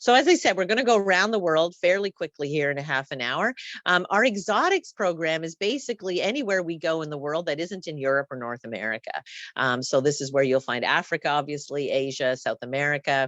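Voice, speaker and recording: A woman speaks at a fairly low pitch with very wide pitch swings. Her pace is fairly quick, and the sound is dry and close with no echo. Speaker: tour company representative. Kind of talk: presentation. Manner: fast.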